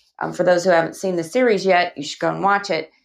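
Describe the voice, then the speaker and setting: A woman speaks with a Southern US accent. The background is quiet. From Alabama, US South. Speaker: actress and author. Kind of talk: casual interview chat.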